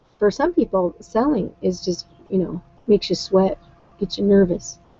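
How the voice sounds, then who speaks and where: With music in the background, a woman speaks at a moderate pace and medium pitch. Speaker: online business coach. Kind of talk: live webinar talk. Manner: hesitant, many fillers.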